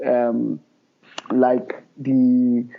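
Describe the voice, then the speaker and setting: A man speaks with a Nigerian accent. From Nigeria, Middle Belt (Plateau State). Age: 30s. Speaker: filmmaker. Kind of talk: podcast interview. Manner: hesitant, many fillers.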